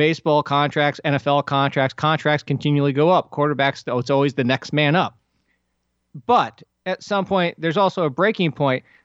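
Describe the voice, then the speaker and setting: A man talks at a moderate pace in an unremarkable speaking voice, fairly high in pitch with ordinary pitch variation. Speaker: sports podcast host. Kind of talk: casual sports chat.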